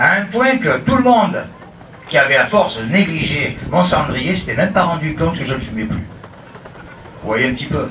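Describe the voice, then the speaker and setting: A man with a Marseille accent speaks at a moderate pace and high pitch, using very wide pitch swings and long, frequent pauses, amid audible room echo and noticeable background noise. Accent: Marseille southern French. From France, Marseille. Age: 50s. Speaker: religious pilgrim. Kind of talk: testimony.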